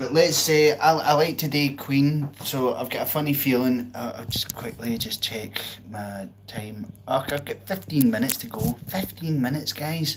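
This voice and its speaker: Over noticeable background noise, a man with a Glasgow accent and a fairly high pitch talks with hardly any pauses, ordinary pitch variation and big swings in loudness. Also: moderate pace. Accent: Scottish (Glasgow). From Scotland, outskirts of Glasgow. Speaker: live-stream pianist. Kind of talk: casual chat. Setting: live stream.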